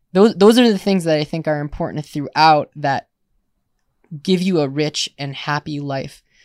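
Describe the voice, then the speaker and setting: Here a man with an Upper Midwest accent speaks at a moderate pace with ordinary pitch variation. The recording is very clean, silent in the background, and dry and close with no echo. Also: fairly high pitch for a man. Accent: Upper Midwest American. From US Midwest, Milwaukee, Wisconsin. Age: 20s. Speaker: army veteran and university student. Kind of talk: casual interview. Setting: outdoors on a porch. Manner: halting, many repetitions.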